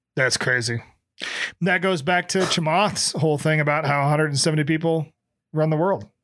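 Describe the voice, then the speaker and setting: A man with an ordinary speaking voice, fairly high in pitch, at a fairly slow pace, very even in loudness, with ordinary pitch variation, on a very clean recording with a silent background. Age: 40s. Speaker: podcast co-host. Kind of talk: casual chat.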